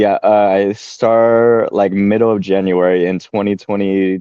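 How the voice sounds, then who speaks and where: Using a normal speaking voice, a man speaks at a fairly low pitch with fairly even intonation. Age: 20s. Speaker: former youth group leader. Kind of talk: casual chat.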